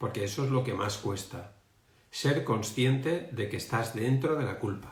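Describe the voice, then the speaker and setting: Audible room echo surrounds a man with a medium-pitched, somewhat breathy voice. He talks at a fairly slow pace with ordinary pitch variation. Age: 60s. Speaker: emotional education coach. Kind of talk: live stream talk. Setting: online live stream. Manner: halting, many fillers.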